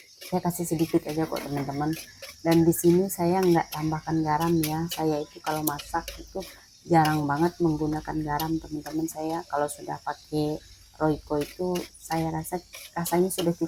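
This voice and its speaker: A woman's very deep, low voice, flat and monotone at a moderate pace, with noticeable background noise. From East Kalimantan, Indonesia (Dayak Tunjung). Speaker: housewife vlogger. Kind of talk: cooking vlog tutorial. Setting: home kitchen. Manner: halting, stiff.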